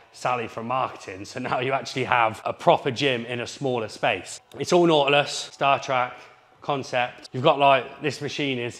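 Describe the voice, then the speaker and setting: The intonation of this man stays fairly even. He moves along at a moderate pace. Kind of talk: casual tour commentary. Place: gym.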